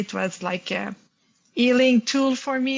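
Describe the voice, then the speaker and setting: A woman with a French accent speaks in a somewhat breathy voice. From Quebec, Montreal. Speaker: panel speaker, creative workshop leader. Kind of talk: panel conversation. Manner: halting.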